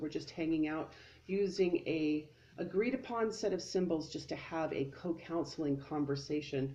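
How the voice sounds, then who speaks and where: A woman with a fairly low pitch and ordinary pitch variation speaks over noticeable background noise. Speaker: card reader. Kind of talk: tutorial. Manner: fast; animated.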